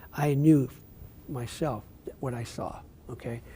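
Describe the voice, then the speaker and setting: A man with an American accent speaks at a fairly slow pace in a medium pitch, his somewhat breathy voice dark and mellow in tone, with ordinary pitch variation. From northeastern Pennsylvania (Wilkes-Barre). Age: 70s. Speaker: city mayor. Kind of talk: interview.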